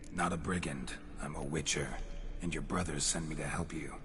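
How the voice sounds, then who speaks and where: Over loud background noise, a man uses a put-on character voice with a very deep, low pitch at a fairly quick pace. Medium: video game. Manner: terse, dry, clipped sentences.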